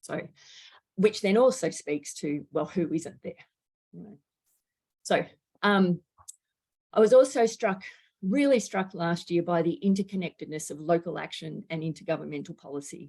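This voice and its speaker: With an Australian accent and a fairly low pitch, a woman speaks at a moderate pace with long, frequent pauses, lively intonation and big swings in loudness. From Australia, Melbourne. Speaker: climate education researcher. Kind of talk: lecture.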